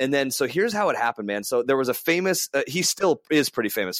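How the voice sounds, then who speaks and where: Talking very fast, a man with an American accent uses lively intonation in a dry, close recording with no echo. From US West (California and Las Vegas). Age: 30s. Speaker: racing driver. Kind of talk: casual interview chat.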